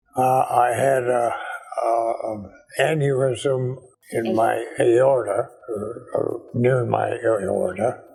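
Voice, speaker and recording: A man is speaking. Music plays in the background. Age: 80s+. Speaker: patient recovering from stroke and heart disease. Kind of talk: interview answer.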